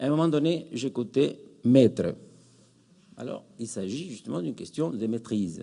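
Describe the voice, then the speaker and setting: In a Spanish accent, a man speaks at a fairly slow pace with lively intonation. His pitch is medium and his tone dark and mellow. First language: Spanish (speaking French). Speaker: academic, psychoanalysis in education. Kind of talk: conference closing remarks. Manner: hesitant, many fillers.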